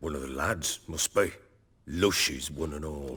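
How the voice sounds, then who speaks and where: In a put-on character voice, a man speaks raspy and very deep, at a moderate pace. His loudness swings widely. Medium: video game. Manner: gruff, blustery.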